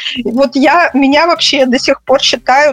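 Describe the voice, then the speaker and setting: Over noticeable background noise, a high-pitched woman speaks at a fairly slow pace. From Russia. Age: 40s. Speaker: psychologist. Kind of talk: interview.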